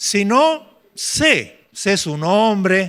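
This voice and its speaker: Lively intonation from a man whose raised, projected voice carries a bright, sharp tone. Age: 70s. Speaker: pastor. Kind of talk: sermon. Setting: church retreat with congregation.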